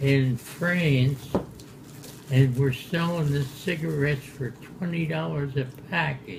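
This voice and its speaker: A very slow-paced man with a fairly high voice and ordinary pitch variation, against noticeable background noise and audible room echo. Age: 100s (80s+). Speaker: war veteran. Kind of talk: casual chat. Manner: halting.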